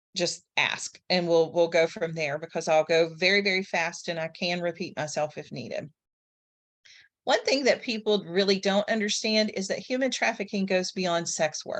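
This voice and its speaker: A woman speaks at medium pitch over a quiet background. She has an ordinary speaking voice. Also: ordinary pitch variation, moderate pace. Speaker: social work professor. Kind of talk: presentation on a group call.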